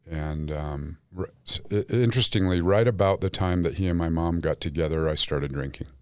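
With an American accent and ordinary pitch variation, the speaker talks at a fairly quick pace with hardly any pauses. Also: man, very deep, low pitch for a man. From Salt Lake City, Utah. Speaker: counselor in recovery. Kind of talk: casual interview. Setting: studio. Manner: humorous.

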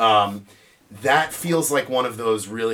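Man with a normal speaking voice and an American accent, medium pitch, fairly even intonation, fairly slow pace. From New York. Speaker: podcast guest. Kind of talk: casual chat. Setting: studio.

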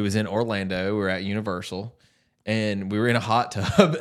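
In a very clean recording with a silent background, a man with a Southern US accent speaks at a moderate pace, his fairly low pitch following fairly even intonation.

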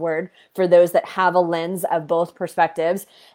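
A woman's medium-pitched voice at a moderate pace, over a quiet background. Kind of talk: pep talk. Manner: fervent, motivational, rallying the listener; direct, emphatic, preacher-like.

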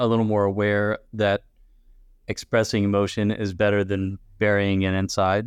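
A man with an ordinary speaking voice talks at a moderate pace and a fairly low pitch. The sound is dry and close with no echo, over a quiet background. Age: 40s. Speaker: podcast host, chaplain. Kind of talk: interview.

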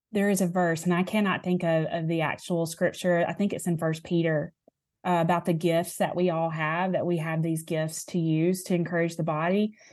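A woman with a fairly low pitch speaks at a moderate pace. Her intonation is monotone and flat over a quiet background. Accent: Southern US. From Alabama, US South. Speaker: author and speaker. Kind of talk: casual interview conversation.

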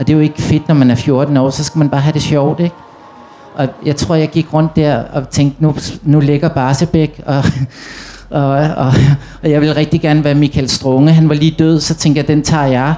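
Amid noticeable background noise, a man with a fairly high pitch talks at a moderate pace with very even loudness and monotone, flat intonation. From Copenhagen (Amager), Denmark. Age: 40s. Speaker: author of youth books. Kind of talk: panel discussion. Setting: tent stage with audience.

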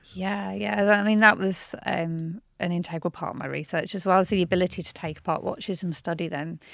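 In a very clean recording with a silent background, a woman with a Birmingham accent and fairly low pitch talks at a fairly quick pace with hardly any pauses. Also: ordinary pitch variation. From Birmingham, England. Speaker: watchmaker and historian. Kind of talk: interview.

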